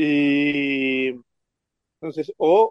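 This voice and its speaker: This man's voice sits at a fairly high pitch. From Argentina, Buenos Aires province. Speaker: catechist and Facebook page administrator. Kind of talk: interview testimony. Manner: halting.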